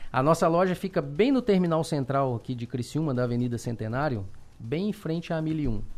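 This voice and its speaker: Speaking fairly quickly with lively intonation, a man with a fairly high pitch comes through on a very clean recording with a silent background. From Belo Horizonte, Brazil. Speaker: car salesman and dealership owner. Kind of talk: interview.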